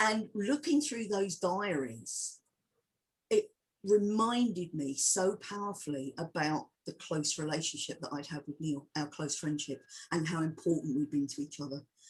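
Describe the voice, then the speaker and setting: With an English accent, a woman speaks fairly slowly in a somewhat breathy, fairly low voice. Her intonation is lively, broken by long, frequent pauses. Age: 60s. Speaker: filmmaker and historian. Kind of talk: interview Q&A. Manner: animated; halting.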